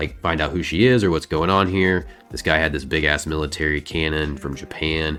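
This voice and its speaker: Over music in the background, a man with a very deep, low pitch speaks at a fairly quick pace with ordinary pitch variation. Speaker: comic book storyteller host. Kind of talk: casual comic recap narration. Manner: casual, conversational.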